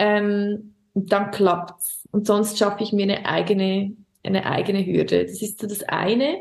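A somewhat breathy woman with a Swiss German accent, medium in pitch, monotone and flat, at a fairly slow pace. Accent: Swiss German accent, audible. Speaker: singer and primary school teacher. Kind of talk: casual interview chat.

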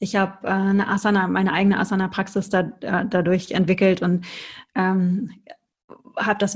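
At a moderate pace, a woman speaks in a somewhat breathy voice at a medium pitch with a monotone, flat intonation. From Ruhr area, Germany. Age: 40s. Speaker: tantra yoga teacher. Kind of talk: interview.

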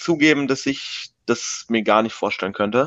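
The man's voice sits fairly high. His pitch varies an ordinary amount. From Berlin, Germany. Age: 20s. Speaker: student and youth football coach. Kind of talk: casual chat. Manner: hesitant, many fillers.

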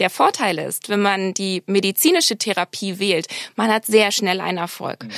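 In a very clean recording with a silent background, a woman with a plain, everyday voice speaks at a moderate pace and medium pitch with ordinary pitch variation. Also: dry, close sound with no echo. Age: 30s. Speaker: medical cosmetician. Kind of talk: interview.

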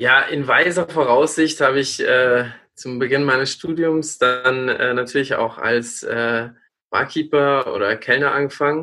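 Speaking at a fairly slow pace, a man uses a bright, sharp tone and fairly even intonation. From rural Lower Bavaria, near Regensburg. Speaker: student, new podcast co-host. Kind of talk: casual chat. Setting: recording from home.

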